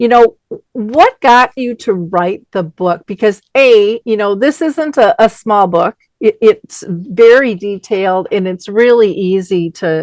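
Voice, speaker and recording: A woman with a plain, everyday voice speaks at a fairly slow pace and a fairly high pitch. Her intonation is lively, and the sound is dry and close with no echo. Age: 60s. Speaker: radio host. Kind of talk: interview.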